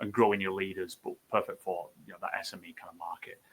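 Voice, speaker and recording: The speech comes at a very fast pace with a northern English accent. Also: man. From northern England, Bolton. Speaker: tech startup founder. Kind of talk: fireside chat webinar. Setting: live video stream.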